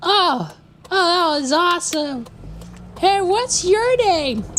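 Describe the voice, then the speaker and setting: An extremely high pitch defines this put-on character voice. The words come out at a very slow pace. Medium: actual play. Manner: casual, laid-back.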